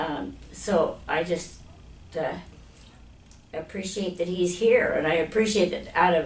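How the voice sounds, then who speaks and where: A woman with an American accent at a fairly slow pace, with long, frequent pauses and audible room echo. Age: 80s+. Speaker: chiropractic patient giving testimonial. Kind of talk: testimonial interview. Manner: halting, with fillers and repetitions.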